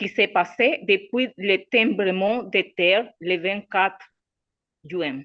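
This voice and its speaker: A woman's very slow speech in a Spanish accent. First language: Spanish (speaking French). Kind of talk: reading aloud a prepared statement. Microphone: unstable connection.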